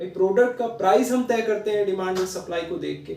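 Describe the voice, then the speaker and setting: In a room with audible echo, a man speaks at a moderate pace, his high voice dark and mellow in tone. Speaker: online teacher. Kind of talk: lecture. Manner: code-switching Hindi-English, conversational; quiet, not speaking loudly.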